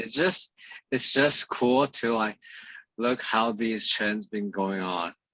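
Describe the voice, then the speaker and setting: This man has a medium pitch, a bright, sharp tone and ordinary pitch variation. He talks at a very slow pace, and the sound is dry and close with no echo. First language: Mandarin Chinese. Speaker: fitness coach and podcast host. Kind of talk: interview over video call.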